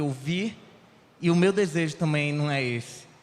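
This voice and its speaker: A man talks with lively intonation. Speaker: lay preacher. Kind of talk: sermon. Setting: church.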